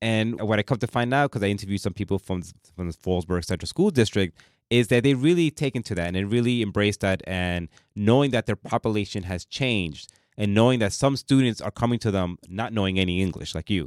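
A man's very fast, fairly low voice with an American accent, in a dry, close sound with no echo. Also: ordinary pitch variation, very clean recording, silent background. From New York, Bronx. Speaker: radio host. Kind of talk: interview. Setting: radio studio.

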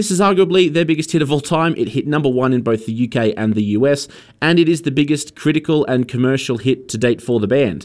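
Fairly high-pitched Australian accent from a man talking at a fairly quick pace, in a very clean recording with a silent background. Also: ordinary pitch variation. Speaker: radio host. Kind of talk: radio DJ patter: friendly, chatty song intros and back-announcements between tracks. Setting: community radio studio. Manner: warm, upbeat, conversational, slightly hesitant with fillers.

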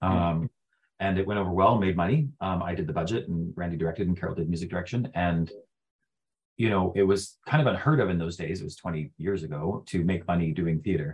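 A very deep, low-pitched man's voice with a Western Canadian accent, very fast pace and ordinary pitch variation. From Prince George, British Columbia, Canada. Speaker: real estate broker and theatre company owner. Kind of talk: casual interview. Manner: halting, many fillers and repetitions.

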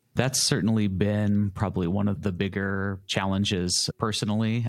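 Over a silent background in a very clean recording, a man with an American accent speaks in a very deep, low pitch with monotone, flat intonation. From Lawrence, Kansas, US Midwest. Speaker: music shop owner. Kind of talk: interview.

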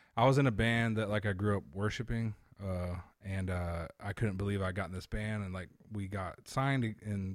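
A man with a normal speaking voice, fairly low pitch, ordinary pitch variation and a fairly quick pace, on a very clean recording with a silent background. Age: 30s. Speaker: comedian and touring musician. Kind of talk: casual chat.

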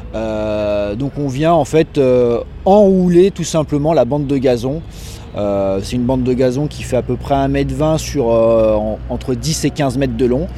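The man talks at a fairly slow rate. Around him there is noticeable background noise and audible echo from the room. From Paris region, France. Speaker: stadium groundskeeper. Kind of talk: interview. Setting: on the stadium pitch.

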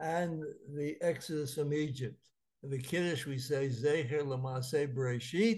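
This man's voice is somewhat breathy and fairly high in pitch. He goes at a fairly slow pace with ordinary pitch variation. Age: 80s. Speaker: rabbi and lecturer. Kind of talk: lecture. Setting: video call.

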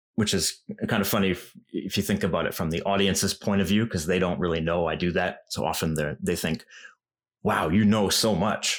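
On a very clean recording with a silent background, a man with a western Canadian accent speaks in a very deep, low voice at a moderate pace with ordinary pitch variation. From western Canada. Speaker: language YouTuber. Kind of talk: interview.

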